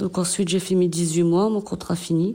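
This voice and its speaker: Flat, monotone intonation pairs with a dark, mellow tone in this voice. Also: woman. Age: 40s. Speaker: garden and vegetable-processing worker in job reintegration. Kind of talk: testimony. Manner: hesitant.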